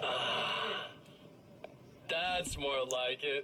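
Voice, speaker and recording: Amid clear background noise, a man puts on a character voice pitched fairly high. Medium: video game.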